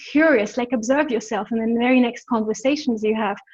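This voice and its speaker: Against a quiet background, a woman speaks in a high voice with lively intonation. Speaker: embodiment coach. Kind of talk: webinar teaching.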